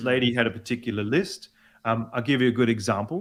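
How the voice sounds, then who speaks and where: Speaking with an Australian accent, a man moves along rather briskly. His voice sits at a middle pitch. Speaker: executive voice coach; opera singer. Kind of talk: interview answer.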